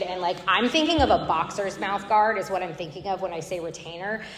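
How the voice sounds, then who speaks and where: Over noticeable background noise, a woman with a medium pitch and an American accent talks in an animated tone at a fairly quick pace. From Tampa, Florida. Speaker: AA speaker. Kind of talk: recovery testimony. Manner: fast.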